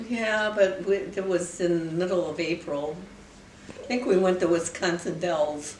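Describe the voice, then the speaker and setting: A woman speaks in a fairly low voice. Noticeable noise runs in the background. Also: ordinary pitch variation, fairly slow pace. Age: 80s+. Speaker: great grandmother. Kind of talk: interview answer.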